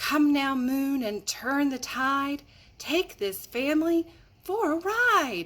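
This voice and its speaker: Spoken at a very slow pace, this is a put-on character voice. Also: woman, high pitch for a woman. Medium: read story. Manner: soft.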